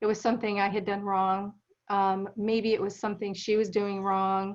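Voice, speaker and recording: A woman of medium pitch speaks in a plain, everyday voice. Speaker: documentary film producer. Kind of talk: interview.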